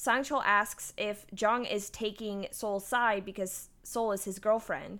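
A very slow, monotone, flat delivery in a bright, sharp tone with a strong Texan accent, on a very clean recording with a silent background. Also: woman, fairly high pitch for a woman. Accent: Texan, thick. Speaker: podcast co-host. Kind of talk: casual recap chat.

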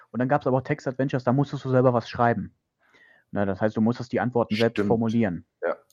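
A man speaks very fast in a medium pitch with fairly even intonation. The sound is dry and close with no echo, over a quiet background. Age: 20s. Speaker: podcast host. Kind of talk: casual chat. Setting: remote recording over the internet.

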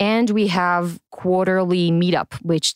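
A woman speaks with an Israeli accent and ordinary pitch variation, in a dry, close sound with no echo. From Israel, Tel Aviv. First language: Hebrew. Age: 20s. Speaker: innovation community director. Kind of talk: interview.

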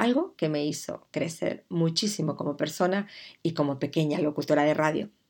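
This woman talks at a moderate pace in a very deep, low voice with ordinary pitch variation. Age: 50s. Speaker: podcast host, digital communication consultant. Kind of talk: podcast monologue, personal introduction.

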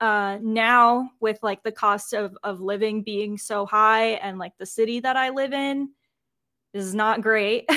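A woman speaks with a bright, sharp tone and a fairly high pitch, in an American accent, at a fairly slow pace with fairly even intonation. The recording is very clean, with a silent background. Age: 20s. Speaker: graphic designer. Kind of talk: casual chat.

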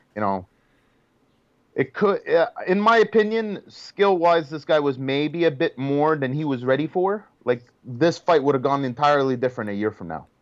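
Over a quiet background, a man speaks at a moderate pace. His fairly high-pitched voice has lively intonation. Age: 30s. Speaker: boxing journalist. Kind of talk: casual chat.

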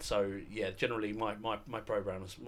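Audible room echo surrounds a man's voice. He has a fairly low pitch and a monotone, flat intonation. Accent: British. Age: 20s. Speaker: wrestling fan, podcast guest. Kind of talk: casual chat.

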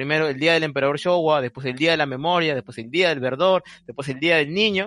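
This man talks at a fairly quick pace with ordinary pitch variation. His voice is fairly high and has a bright, sharp tone. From Peru. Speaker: Japanese studies researcher. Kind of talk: casual interview.

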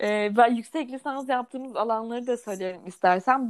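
A normal speaking voice moves at a moderate pace, its pitch rising and falling in an ordinary way. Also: woman. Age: 20s. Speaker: podcast co-host, mother of a child with Down syndrome. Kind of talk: casual chat.

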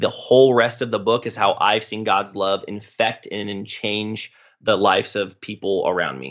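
At a moderate pace and fairly low pitch, a man talks in an unremarkable speaking voice whose pitch varies in an ordinary way. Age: 20s. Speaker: pastor. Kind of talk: casual chat.

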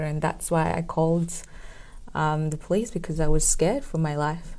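A woman speaks at a moderate pace with a fairly low pitch. The room echo is audible. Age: 20s. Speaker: domestic violence survivor and entrepreneur. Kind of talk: interview testimony.

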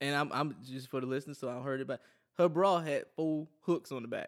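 Delivered at a moderate pace, the speech comes through on a very clean recording with a silent background. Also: man. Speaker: podcast co-host. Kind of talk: casual comedic banter.

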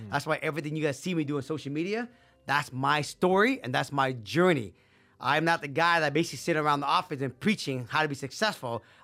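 A man with a fairly high pitch and a bright, sharp tone speaks at a very fast pace. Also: ordinary pitch variation. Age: 50s. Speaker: real estate investor. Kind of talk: casual interview. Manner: animated.

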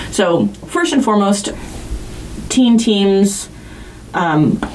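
Noticeable noise sits behind the recording. Through it, a woman talks with a fairly high voice. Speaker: podcast host and teacher. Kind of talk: casual chat.

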